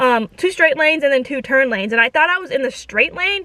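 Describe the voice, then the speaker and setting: A raised, projected voice with an animated, bright and sharp tone and lively intonation. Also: woman. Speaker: vlogger. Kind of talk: casual storytelling vlog.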